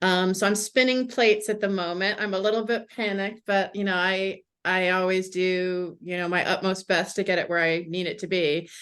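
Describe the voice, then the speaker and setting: A woman with an American accent and an unremarkable speaking voice, medium-pitched, at a moderate pace over a quiet background. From USA. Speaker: mystery novelist. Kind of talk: interview.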